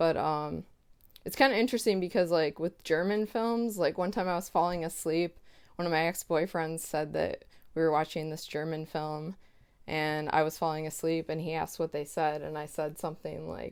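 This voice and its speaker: A woman's normal speaking voice, fairly low in pitch, at a moderate pace in a very clean recording with a silent background. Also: ordinary pitch variation. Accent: American. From United States. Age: 30s. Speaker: publisher, editor and author. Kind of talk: interview conversation. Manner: casual, many fillers.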